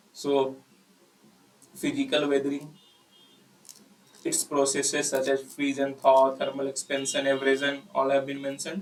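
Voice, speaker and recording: A fairly high-pitched man in a monotone, flat delivery, with long, frequent pauses. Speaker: agriculture exam tutor. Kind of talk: tutorial. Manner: fast.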